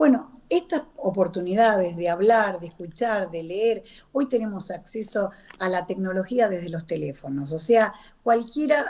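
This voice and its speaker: A woman with an unremarkable speaking voice talks at a moderate pace and medium pitch, her intonation lively and her loudness swinging widely. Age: 60s. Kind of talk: radio interview.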